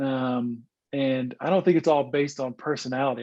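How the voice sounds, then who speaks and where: Fairly quick speech with a Southern US accent and ordinary pitch variation, over a quiet background. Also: man. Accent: Southern twang. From US South, northeast Arkansas. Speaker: former pro baseball player, sales executive, church leader. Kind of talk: podcast interview.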